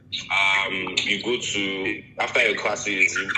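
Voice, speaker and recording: Music plays in the background. A man speaks with a Nigerian accent. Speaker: international graduate student. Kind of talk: casual chat. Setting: video call.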